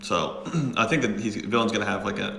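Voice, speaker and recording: Speech comes very fast from a man. The room echoes audibly, and background noise is noticeable. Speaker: poker coach. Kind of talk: live game commentary with explanation. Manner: hesitant, many fillers.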